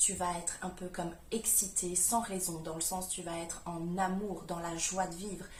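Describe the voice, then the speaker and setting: A woman's medium-pitched voice is heard with audible room echo. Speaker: spiritual coach, manifestation youtuber. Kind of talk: vlog-style coaching talk.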